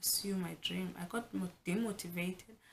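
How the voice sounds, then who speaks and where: Talking at a fairly slow pace, a woman with a South African accent sounds somewhat breathy. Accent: South African (Xhosa) English. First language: Xhosa. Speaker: vlogger. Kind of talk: casual vlog talk. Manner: animated.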